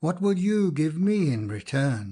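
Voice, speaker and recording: A man's put-on character voice, fairly high in pitch, with very wide pitch swings. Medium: read story. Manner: menacing.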